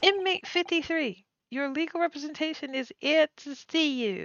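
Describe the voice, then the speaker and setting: A woman puts on a character voice, talking high and at a moderate pace. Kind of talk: formal, officious.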